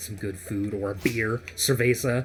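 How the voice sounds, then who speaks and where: With vocal fry and a fairly low pitch, a man speaks at a very slow pace with fairly even intonation. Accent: American. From United States. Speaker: gaming podcast host. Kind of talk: casual chat.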